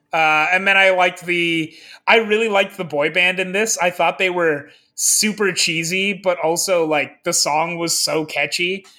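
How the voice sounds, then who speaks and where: A man with a Midwestern accent, high in pitch, bright and sharp in tone, with fairly even intonation on a very clean recording against a silent background. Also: moderate pace. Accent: General American (Midwest). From US Midwest (Lincoln, Nebraska). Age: 30s. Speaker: podcast host, film reviewer. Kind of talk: casual chat.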